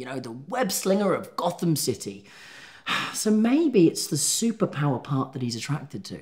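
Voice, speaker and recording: Against a quiet background, a man speaks at a moderate pace in a somewhat breathy voice with very wide pitch swings. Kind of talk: scripted comedic dialogue. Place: office.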